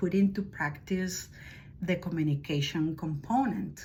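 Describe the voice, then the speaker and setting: With a Spanish accent, a woman talks at a fairly slow pace in a fairly low, somewhat breathy voice with ordinary pitch variation and audible room echo. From Spain, Madrid. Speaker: language teacher. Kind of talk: self-introduction video. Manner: hesitant, many fillers.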